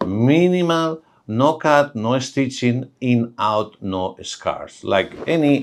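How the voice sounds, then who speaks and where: A man talks with a Spanish accent. The recording is very clean, with a silent background. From Spain. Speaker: oral and maxillofacial surgeon. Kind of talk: medical explainer talk to camera.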